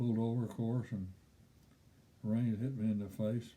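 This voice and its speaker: With a Kentucky accent, a man speaks at a moderate pace in a dark, mellow, medium-pitched voice with monotone, flat intonation. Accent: Kentucky Southern US. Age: 80s+. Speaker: storyteller. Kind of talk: personal storytelling.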